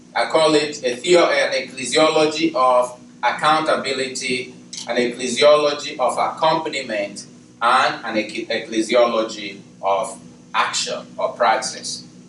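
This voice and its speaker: The man talks at a fairly slow pace. Audible room echo and noticeable background noise surround his voice. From Nigeria. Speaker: theology professor. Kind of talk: panel talk. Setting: university event with audience.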